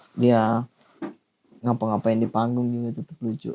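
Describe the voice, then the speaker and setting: Recorded dry and close with no echo, a man speaks in a dark, mellow tone. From Sulawesi, Indonesia. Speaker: stand-up comedian, podcast co-host. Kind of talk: casual chat. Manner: animated.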